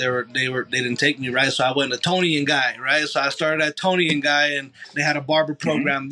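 Bright and sharp in tone, a man with an American accent speaks at a fairly quick pace and a fairly high pitch. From Los Angeles, military family moving around. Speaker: barber. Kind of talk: casual interview.

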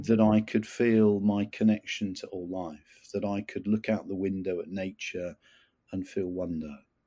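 Fairly low in pitch, a man speaks in a dark, mellow tone with fairly even intonation on a very clean recording with a silent background. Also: fairly slow pace. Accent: southern English. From England, near London. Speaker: retired army officer and qigong teacher. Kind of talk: interview testimony. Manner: halting, many fillers and repeats.

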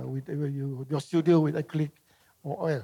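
On a very clean recording with a silent background, a man talks at a moderate pace with a fairly high pitch and a dark, mellow tone. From Singapore. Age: 80s+. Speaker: artist. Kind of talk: live public conversation. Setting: stage with audience. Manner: halting.

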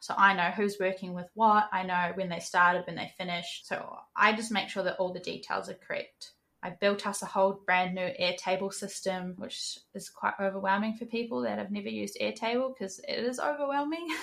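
A woman with a New Zealand accent speaks at medium pitch in a bright, sharp tone with ordinary pitch variation. Her pace is fairly quick, with hardly any pauses. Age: 20s. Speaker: NFT project manager and moderator. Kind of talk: interview.

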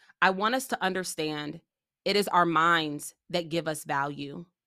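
A woman speaks at a fairly low pitch and fairly slow pace in a bright, sharp tone, with ordinary pitch variation. The recording is very clean, with a silent background. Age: 30s. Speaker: podcast host and leadership coach. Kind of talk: monologue podcast intro.

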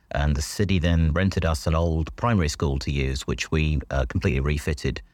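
A man's very deep, low voice with an English accent and vocal fry, at a fairly quick pace with ordinary pitch variation, on a very clean recording with a silent background. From England. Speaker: school principal. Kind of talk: interview.

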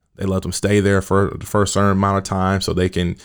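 A man's very deep, low voice with an American accent at a fairly quick pace, in a very clean recording with a silent background. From US Midwest, Kansas City. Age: 20s. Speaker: youth worker and mentor. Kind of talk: podcast interview. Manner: casual, many fillers.

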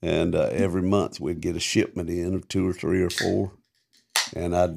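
On a very clean recording with a silent background, a man speaks at a moderate pace in a very deep, low voice. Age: 70s. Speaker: podcast co-host and former touring musician. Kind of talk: casual chat; reading aloud.

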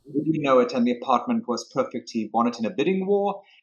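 A man with a South African accent and lively intonation. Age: 50s. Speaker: real estate broker. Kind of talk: interview. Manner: charismatic.

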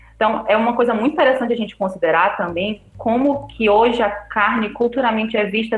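Noticeable background noise sits behind a woman's fairly high voice. She talks at a fairly quick pace. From Belém, Pará, Brazil. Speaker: vegetarian guest. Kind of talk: casual chat.

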